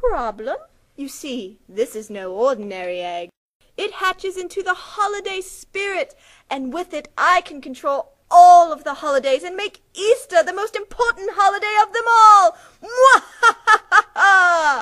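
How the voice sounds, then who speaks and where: Putting on a cartoonish character voice, a woman speaks in an extremely high pitch at a moderate pace, with long, frequent pauses. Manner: falsely sweet, then angry.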